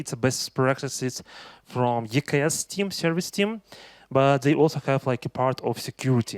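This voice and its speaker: A man's medium-pitched voice with a Russian accent, moderate pace, and a dry, close sound with no echo. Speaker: tech conference speaker. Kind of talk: conference talk. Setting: stage with audience. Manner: halting, many fillers.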